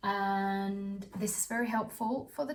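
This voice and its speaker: There is a somewhat breathy quality to this woman's speech. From Austria. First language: German. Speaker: student vlogger. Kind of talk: casual vlog talk. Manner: halting, many fillers and repeats.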